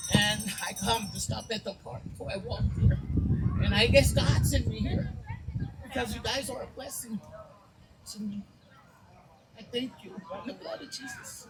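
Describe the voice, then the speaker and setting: Speaking at a moderate pace, a woman leaves long, frequent pauses and swings widely in loudness, with noticeable background noise behind her. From Las Vegas area. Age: 60s. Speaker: raffle winner. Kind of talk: casual chat.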